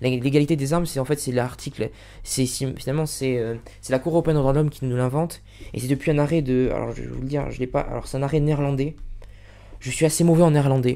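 A man rushes along at a very fast pace with a monotone, flat intonation. His tone is dark and mellow, though his pitch sits fairly high. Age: 20s. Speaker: law video tutor. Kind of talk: casual lecture to camera. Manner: halting, many fillers and repetitions. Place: home room. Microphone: studio mic.

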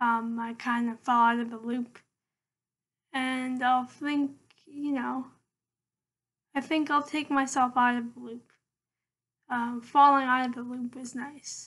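A woman speaks at a fairly slow pace with a high pitch and long, frequent pauses. Her intonation is monotone and flat. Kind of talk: casual vlog monologue. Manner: hesitant, many fillers. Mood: calm, reflective. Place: home room. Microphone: laptop webcam; webcam.

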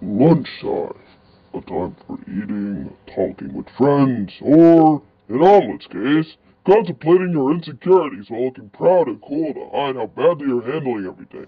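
A man with a fairly high pitch speaks at a moderate pace. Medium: fan dub. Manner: sarcastic, dry.

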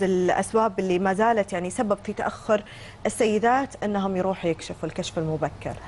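A woman talks at a fairly quick pace with ordinary pitch variation over light background noise. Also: hardly any pauses. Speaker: TV talk show host. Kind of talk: TV interview. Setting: TV studio. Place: studio. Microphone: lapel.

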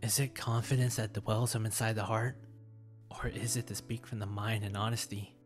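With music playing behind it, the talking proceeds at a moderate pace. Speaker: writer and creator. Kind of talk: poetry reading.

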